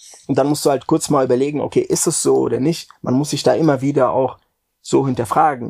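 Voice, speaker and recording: Using vocal fry, a man speaks at a fairly quick pace with fairly even intonation. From Frankfurt, Germany. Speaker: music industry executive. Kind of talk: interview. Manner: halting, many fillers.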